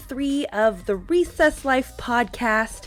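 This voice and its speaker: A woman speaks at a high pitch and a very slow pace. Her intonation is lively, with music playing in the background. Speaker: podcast host. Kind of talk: podcast intro.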